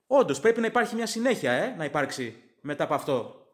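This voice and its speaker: At a fairly quick pace, a man with an English accent talks with lively intonation. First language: English (speaking Greek). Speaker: sports fan podcaster. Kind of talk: casual sports commentary monologue.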